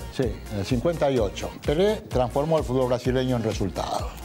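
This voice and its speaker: A man talks at a fairly quick pace with clear music playing in the background. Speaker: sports journalist. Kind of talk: scripted TV promo dialogue. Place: studio.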